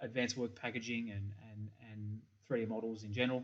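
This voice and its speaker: A man speaks with an Australian accent. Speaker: software company principal. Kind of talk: conference presentation. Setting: pre-recorded video presentation. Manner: hesitant with many fillers.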